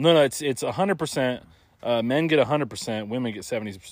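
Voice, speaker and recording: Animated in tone, a man speaks at a very fast pace. His pitch varies in an ordinary way. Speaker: podcast host. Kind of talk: casual comedic chat. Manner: joking, animated.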